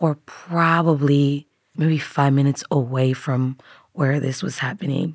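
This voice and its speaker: A woman's very deep, low voice at a moderate pace, with fairly even intonation and a dry, close sound with no echo. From Tanzania. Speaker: refugee and public health graduate. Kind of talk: personal testimony interview.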